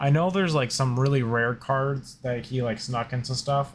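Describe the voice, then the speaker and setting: In a very clean recording with a silent background, a man talks at a moderate pace at a medium pitch, his intonation fairly even. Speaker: gaming youtuber. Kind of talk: casual card opening commentary. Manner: hesitant, many fillers.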